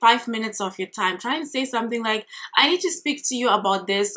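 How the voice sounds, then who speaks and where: With a non-native accent, a woman speaks at a fairly high pitch. Her tone is bright and sharp, and her intonation is lively. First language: not English. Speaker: career coach and recruiter vlogger. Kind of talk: advice vlog monologue. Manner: casual, conversational.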